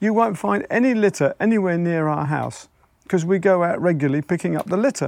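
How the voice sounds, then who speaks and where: With an English accent, a man speaks high and fairly quickly with lively intonation. The background is quiet. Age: 70s. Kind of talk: casual chat. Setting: outdoors.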